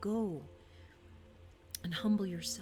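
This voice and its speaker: A soft-spoken voice with music in the background. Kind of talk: scripture reading.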